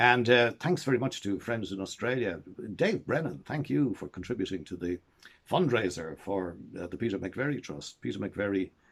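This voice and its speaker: With an Irish accent, a man speaks in very wide pitch swings. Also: fairly low pitch for a man, moderate pace. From Ireland. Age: 70s. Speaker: storyteller. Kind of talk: casual monologue to camera. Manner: halting.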